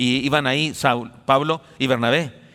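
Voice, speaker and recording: On a very clean recording with a silent background, a man speaks at a medium pitch in a bright, sharp tone. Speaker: pastor. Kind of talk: sermon. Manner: fast.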